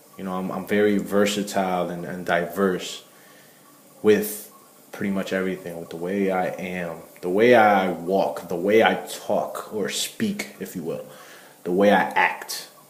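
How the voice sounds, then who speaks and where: A man speaks at a fairly slow pace in a very deep, low voice with flat, monotone intonation and big swings in loudness. Audible room echo and noticeable background noise surround him. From Connecticut, Puerto Rican family. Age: young. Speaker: vlogger. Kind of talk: vlog monologue. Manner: repetitive, hesitant restarts.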